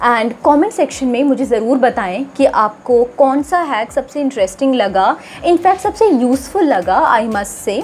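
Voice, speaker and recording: Over music in the background, a high-pitched woman speaks at a fairly slow pace with hardly any pauses and very wide pitch swings. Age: 20s. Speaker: doctor and style vlogger. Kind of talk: vlog tutorial. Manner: hesitant, frequent fillers.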